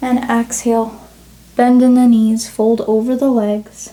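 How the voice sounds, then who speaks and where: Over noticeable background noise, a woman talks at a very slow pace. Her high-pitched voice stays monotone and flat. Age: 20s. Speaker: yoga teacher. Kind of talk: guided yoga class instruction.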